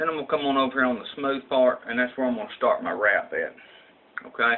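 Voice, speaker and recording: With a strong Southern US accent, a man talks at a very fast pace over noticeable background noise. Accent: strong rural Southern US country. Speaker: vaping tutorial youtuber. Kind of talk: tutorial. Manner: casual, halting with many fillers.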